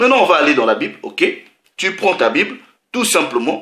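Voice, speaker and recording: This man's voice sits high in pitch, with a bright, sharp tone. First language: not French (speaking French). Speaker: religious preacher. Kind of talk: sermon.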